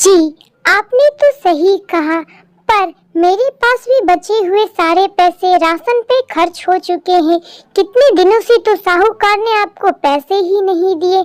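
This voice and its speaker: Squeaky and extremely high-pitched, a woman's cartoonish character voice moves at a fairly slow pace. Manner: firm, commanding.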